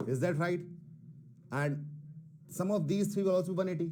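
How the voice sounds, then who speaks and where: A man's dark, mellow, somewhat breathy voice at a fairly quick pace, with ordinary pitch variation and audible room echo. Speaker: math teacher. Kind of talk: online class lecture. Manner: Hindi-English code-switching; moderate pace, self-described not fast.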